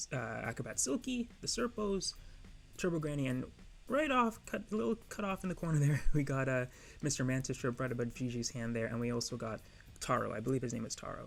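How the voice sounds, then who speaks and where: The voice is soft-spoken. It moves at a very fast pace. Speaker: anime YouTuber. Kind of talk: casual vlog commentary. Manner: hesitant, filler words.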